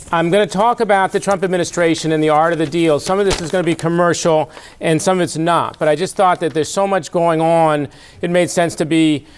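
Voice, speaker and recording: A man with a fairly high voice speaks at a fairly quick pace over noticeable background noise. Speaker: former diplomat, think tank president. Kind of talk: public lecture.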